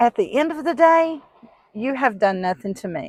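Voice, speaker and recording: With a strong Southern US accent, a woman speaks over a quiet background. The sound is dry and close, with no echo. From US South. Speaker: vlogger. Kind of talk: casual vlog monologue. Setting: in a car.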